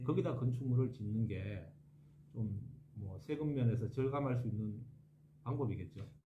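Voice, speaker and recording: Pausing long and often, a man speaks at a moderate pace in a somewhat breathy voice with a dark, mellow tone and ordinary pitch variation. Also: medium pitch for a man. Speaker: architect. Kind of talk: interview answer.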